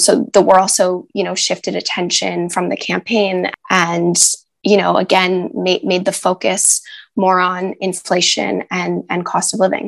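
A woman with an American accent and vocal fry speaks fairly slowly at medium pitch with fairly even intonation. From United States. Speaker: journalist. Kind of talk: interview.

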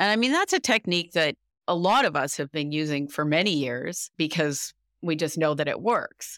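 A woman's very deep, low-pitched voice with lively intonation at a moderate pace, in a dry, close sound with no echo. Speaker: podcast host and math professor. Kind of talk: interview, host questioning a guest. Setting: remote interview, guest joins from abroad.

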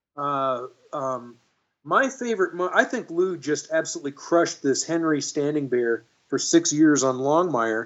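Here a man talks with a Texan accent. His voice sits fairly high in pitch. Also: ordinary pitch variation, moderate pace. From Texas, Dallas. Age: 50s. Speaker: actor and guitarist. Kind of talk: interview conversation.

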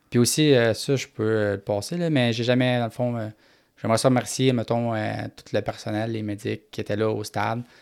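In a Quebec accent, a man talks at a moderate pace with fairly even intonation on a very clean recording with a silent background. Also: medium pitch for a man. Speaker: paraplegic motocross racer. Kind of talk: interview.

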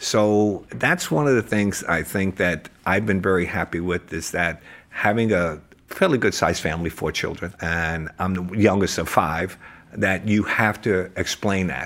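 A man speaks with a New Jersey accent. His pitch is very deep and low. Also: ordinary pitch variation, fairly slow pace. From New Jersey (Hoboken). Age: 70s. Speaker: real estate agent. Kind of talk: casual chat.

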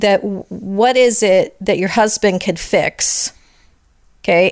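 This woman has an ordinary speaking voice, fairly high in pitch, with lively intonation. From Italian-American family. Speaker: marriage mentor podcast co-host. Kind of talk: casual chat.

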